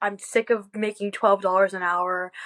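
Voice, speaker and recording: Dry and close with no echo, a woman's ordinary speaking voice moves at a moderate pace with fairly even intonation. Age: 18. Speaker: college student, sales closer. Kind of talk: interview. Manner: casual, filler-heavy.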